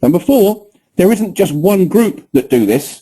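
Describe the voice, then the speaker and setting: A man's dark, mellow voice at a moderate pace, with lively intonation and a British accent. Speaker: trading educator. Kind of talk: webinar presentation. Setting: online webinar with screen recording.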